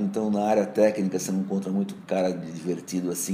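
At a moderate pace, a man speaks at a fairly low pitch against noticeable background noise. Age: 60s. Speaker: advertising executive. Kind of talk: interview answers.

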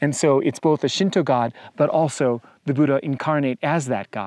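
Over a quiet background, a man speaks with ordinary pitch variation in a dry sound with no echo. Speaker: hiking guide vlogger. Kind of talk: travel vlog commentary. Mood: calm, enthusiastic. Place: open country. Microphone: lapel.

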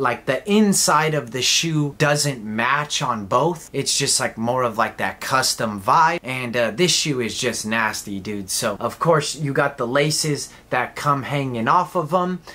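Lively intonation marks this man's medium-pitched voice, which has a bright, sharp tone and an American accent, moving at a fairly slow pace with hardly any pauses. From Southern California (Inland Empire, Chino); California. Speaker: sneaker YouTuber. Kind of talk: casual product review. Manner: animated. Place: home room.

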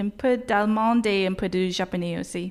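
On a very clean recording with a silent background, a woman with an English accent speaks at a medium pitch with fairly even intonation. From Nova Scotia, Halifax. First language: English (speaking French). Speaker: university graduate, award winner. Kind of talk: interview. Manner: halting, many fillers.

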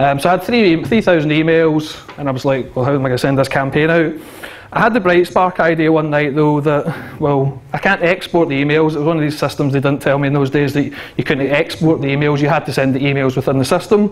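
A man talks very fast with ordinary pitch variation. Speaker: conference speaker. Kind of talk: conference talk. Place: hall. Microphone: handheld.

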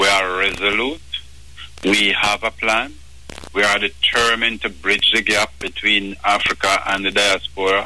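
A man's fairly low voice with ordinary pitch variation at a fairly slow pace, over noticeable background noise. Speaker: business association leader. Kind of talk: radio interview.

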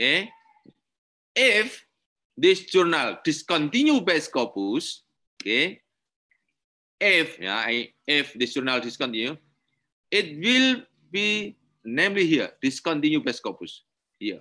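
Against a quiet background, a man with an Indonesian accent speaks at a fairly slow pace with long, frequent pauses, very wide pitch swings, a bright, sharp tone and vocal fry. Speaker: university lecturer. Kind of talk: lecture.

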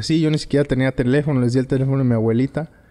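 The speaker is a man with a dark, mellow tone. His pitch varies in an ordinary way. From Tepic, Nayarit, Mexico; Nayarit, Mexico. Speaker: former professional footballer; guest. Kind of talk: interview. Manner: halting. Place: home room. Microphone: studio mic.

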